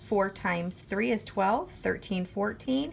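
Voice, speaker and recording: A woman speaks at a moderate pace with a medium pitch. She has a normal speaking voice. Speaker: math teacher. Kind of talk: tutorial.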